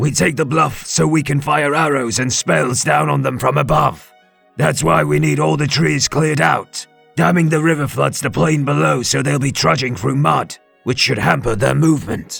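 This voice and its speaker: Doing a raspy, put-on character voice at medium pitch, a man talks at a moderate pace over faint music in the background. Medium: read story. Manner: respectful.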